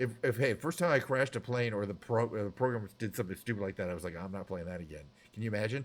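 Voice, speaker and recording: Mumbling in a fairly low voice, a man speaks with lively intonation. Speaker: game and music live streamer. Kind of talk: casual live stream chat. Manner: fast; slightly mumbled, mushy enunciation.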